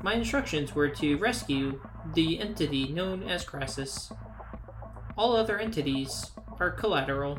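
In a put-on character voice, the speaker talks at a moderate pace and a low-to-middle pitch. Long, frequent pauses break up the speech over clear background noise.

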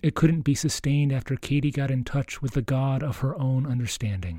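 A man's somewhat breathy, fairly high voice with a dark, mellow tone and ordinary pitch variation. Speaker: priest and podcast host. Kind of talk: scripted narration, intro and outro. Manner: warm, formal.

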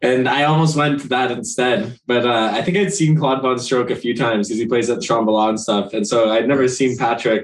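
A man speaks with a Canadian accent in a plain, everyday voice at a medium pitch. His pace is fairly quick, with ordinary pitch variation and hardly any pauses. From Ontario, Canada (Brampton). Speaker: DJ. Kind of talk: casual interview chat.

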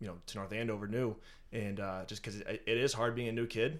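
In a plain, everyday voice, a man with an American accent talks at a fairly quick pace, his pitch fairly low and his intonation fairly even. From eastern Massachusetts. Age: 20s. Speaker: finance and HR worker. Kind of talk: casual interview.

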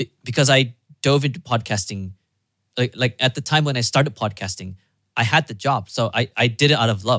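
Speaking with a Malaysian accent at a fairly quick pace, a man with a medium-pitched, bright and sharp voice and ordinary pitch variation comes through dry and close with no echo on a very clean recording with a silent background. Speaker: podcast producer and host. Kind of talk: casual chat.

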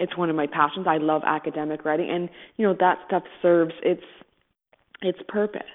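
Speaking at a moderate pace in a Canadian accent, a woman has a fairly low pitch and a normal speaking voice. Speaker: podcast co-host, writer. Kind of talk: casual interview.

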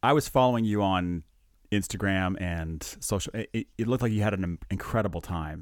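On a very clean recording with a silent background, a man with an unremarkable speaking voice talks at a fairly quick pace, fairly low in pitch, with ordinary pitch variation. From Canada. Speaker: anaesthesia doctor and podcast host. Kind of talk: casual chat. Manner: joking, laughs often.

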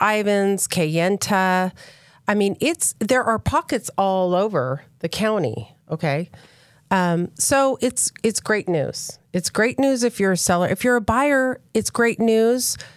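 A woman with a plain, everyday voice at medium pitch speaks at a fairly slow pace with lively intonation and very even loudness, the sound dry and close with no echo on a very clean recording with a silent background. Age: 50s. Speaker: real estate agent. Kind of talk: casual chat.

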